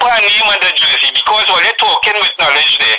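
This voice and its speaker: A man speaks in a Trinidadian accent at a moderate pace. His pitch is high, and there is noticeable background noise. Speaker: caller. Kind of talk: radio call-in. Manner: emphatic.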